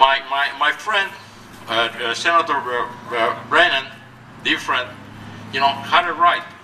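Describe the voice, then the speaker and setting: Fairly slow speech in a Cuban accent, with ordinary pitch variation and noticeable background noise. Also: man. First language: Spanish. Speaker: politician. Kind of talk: rally speech. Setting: outdoors. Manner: animated; halting.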